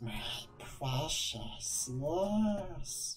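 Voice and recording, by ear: A put-on character voice pitched low to middle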